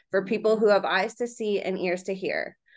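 Speaking at a moderate pace, a woman is heard over a quiet background. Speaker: podcast host. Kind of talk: interview. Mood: earnest, admiring. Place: home room. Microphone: video call.

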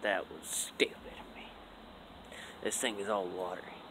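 A man is whispering. He speaks at a fairly slow pace. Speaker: vlogger. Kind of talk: casual vlog monologue. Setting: outdoors. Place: open country. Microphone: phone near.

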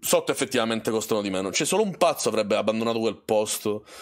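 A man speaks with ordinary pitch variation. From Sicily. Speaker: streamer. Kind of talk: casual live stream conversation. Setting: voice call on a live stream. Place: home room.

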